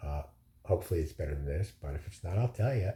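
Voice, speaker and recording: In a very clean recording with a silent background, a man talks in a dark, mellow tone that is somewhat breathy. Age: 60s. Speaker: vlogger recovering from surgery. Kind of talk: casual video diary. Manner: hesitant, many fillers.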